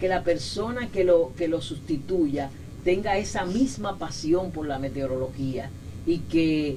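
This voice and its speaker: A woman with a fairly low voice speaks at a fairly slow pace with lively intonation, over audible room echo and noticeable background noise. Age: 60s. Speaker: meteorologist, weather office director. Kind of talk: interview. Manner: halting, many repetitions and fillers.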